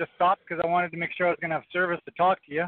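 A man's high-pitched voice with a Western Canadian accent. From British Columbia, Canada. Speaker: truck driver. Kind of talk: call-in question. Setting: phone call.

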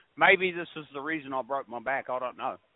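A man with a plain, everyday voice, fairly quick pace and fairly even intonation. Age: 50s. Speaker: truck driver. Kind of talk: casual chat. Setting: phone call.

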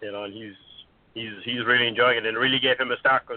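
Speaking very fast with an Irish accent, a man keeps a medium pitch and monotone, flat intonation. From Ireland. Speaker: caller. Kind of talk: casual chat.

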